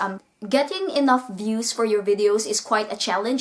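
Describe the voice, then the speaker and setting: A woman's fairly high voice moves at a moderate pace. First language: not English. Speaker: booktuber. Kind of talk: casual vlog monologue.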